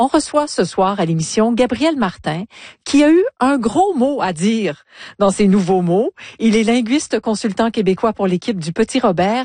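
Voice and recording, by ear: Her voice has a dark, mellow tone and a fairly high pitch. The woman talks at a moderate pace with lively intonation.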